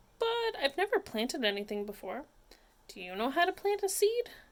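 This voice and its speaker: Putting on a character voice, a woman speaks at a high pitch and a fairly quick pace with very wide pitch swings. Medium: read story.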